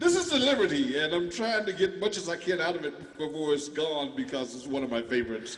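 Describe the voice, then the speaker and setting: At a very fast pace and a fairly high pitch, a man talks with very wide pitch swings over noticeable background noise. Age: 60s. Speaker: musician performing live concert. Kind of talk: casual chat. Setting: video call. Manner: halting.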